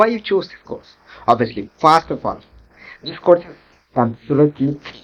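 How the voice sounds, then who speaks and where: The speaker has a Bengali accent and keeps a moderate pace. Long pauses come often. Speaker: online tech instructor. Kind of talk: course introduction.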